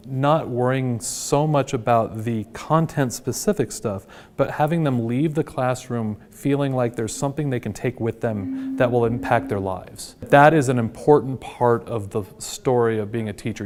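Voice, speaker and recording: A man with an American accent and a plain, everyday voice, medium pitch, ordinary pitch variation, moderate pace and hardly any pauses. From Washington state, US. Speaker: high school teacher. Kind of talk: interview; classroom lecture.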